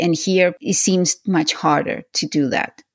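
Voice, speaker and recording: This woman's voice sits fairly low in pitch. She talks at a moderate pace on a very clean recording with a silent background. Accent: Spanish. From Venezuela. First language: Spanish. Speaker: podcast host. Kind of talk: interview.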